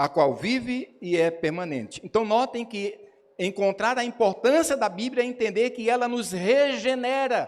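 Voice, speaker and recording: A man talks at a fairly slow pace. His voice is high-pitched. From São Paulo, Brazil. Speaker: pastor. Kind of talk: sermon. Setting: church.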